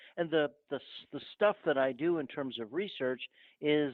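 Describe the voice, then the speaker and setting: The speaker talks at a moderate pace with a northern US accent. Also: man. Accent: northern US (Yankee). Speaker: archaeologist. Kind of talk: podcast interview.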